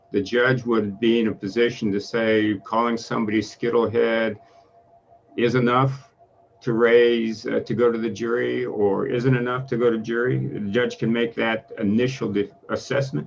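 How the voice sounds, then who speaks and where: A man talks at a moderate pace with fairly even intonation. Music plays in the background. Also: medium pitch for a man. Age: 60s. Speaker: appellate judge. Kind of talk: courtroom questioning. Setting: video call. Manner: hesitant, many filler uhs.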